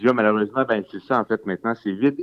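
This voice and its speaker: With a Quebec accent, a man speaks at a fairly low pitch with fairly even intonation. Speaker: documentary filmmaker. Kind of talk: interview. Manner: halting.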